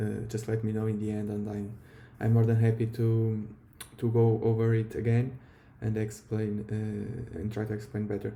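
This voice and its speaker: A non-native accent at a moderate pace. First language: not English. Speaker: trading educator. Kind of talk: tutorial.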